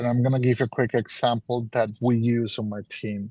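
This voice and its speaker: In a quiet setting, a man with a non-native accent speaks at a fairly slow pace, the sound dry and close with no echo. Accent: noticeable foreign. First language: Spanish or Portuguese. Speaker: business mentor. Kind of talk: workshop Q&A advice.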